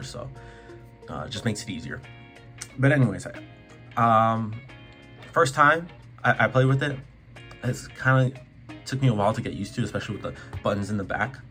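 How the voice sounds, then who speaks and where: Music plays in the background as the speaker moves at a fairly quick pace with ordinary pitch variation and long, frequent pauses. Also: man, medium pitch for a man, big swings in loudness. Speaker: gaming YouTuber. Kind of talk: casual talk to camera.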